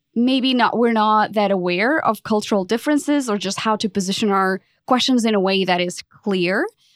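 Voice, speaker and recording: A woman's fairly high voice with a Portuguese accent, ordinary pitch variation, and a dry, close sound with no echo. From Portugal. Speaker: podcast consultant. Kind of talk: interview.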